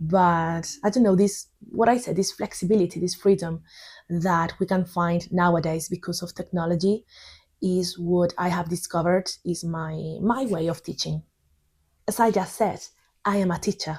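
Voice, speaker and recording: Somewhat breathy, fairly low female voice with fairly even intonation, in a Spanish accent. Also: moderate pace. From Spain. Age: 30s. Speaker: English teacher. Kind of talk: tutorial. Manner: halting.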